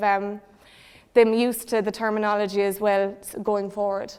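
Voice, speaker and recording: At a moderate pace, a woman with a Cork accent speaks in a fairly high pitch with monotone, flat intonation. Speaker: secondary school teacher. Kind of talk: presentation.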